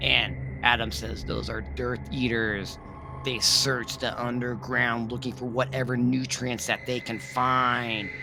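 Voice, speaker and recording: A man's put-on character voice at medium pitch and a fairly slow pace, over loud background noise. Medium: read story. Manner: calm, grave.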